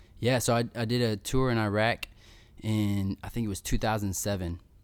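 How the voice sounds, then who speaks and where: A man with an American accent uses an ordinary speaking voice, fairly low in pitch, at a moderate pace in a very clean recording with a silent background. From Missouri, US Midwest. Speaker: war veteran and motivational speaker. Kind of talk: casual interview. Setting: in person, same room as host.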